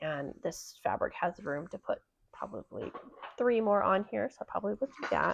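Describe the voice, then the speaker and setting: Here a woman speaks. Her pace is moderate. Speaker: cross stitch vlogger. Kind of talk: casual show-and-tell chat.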